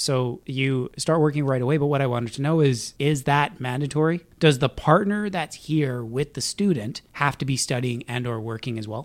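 Here a man has an unremarkable speaking voice at a fairly high pitch. He keeps a moderate pace with ordinary pitch variation. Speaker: podcast host. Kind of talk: casual interview chat.

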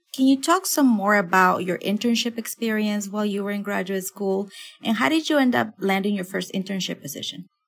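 This woman speaks at a fairly quick pace with lively intonation and a medium pitch. Her voice is somewhat breathy. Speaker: podcast interviewer. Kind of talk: interview.

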